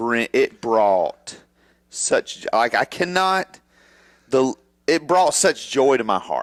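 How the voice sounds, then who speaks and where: Loud and fairly high in pitch, a man speaks with very wide pitch swings in a dry, close sound with no echo, on a very clean recording with a silent background. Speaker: wrestling podcast co-host. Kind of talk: casual chat.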